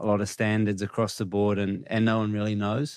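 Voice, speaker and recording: A man speaks at a fairly low pitch with a New Zealand accent. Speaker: cricket coach and player. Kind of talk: podcast interview answer.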